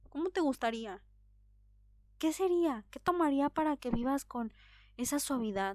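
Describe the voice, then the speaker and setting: Lively intonation and an animated tone mark this moderate-paced speech, recorded very cleanly against a silent background. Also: woman. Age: 30s. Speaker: podcast host. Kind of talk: solo podcast monologue.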